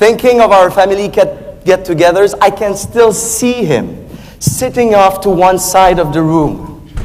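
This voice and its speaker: Speaking fairly slowly with a French accent, a man uses a high pitch and ordinary pitch variation. Noticeable background noise runs underneath. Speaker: speech contest competitor. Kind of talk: contest speech.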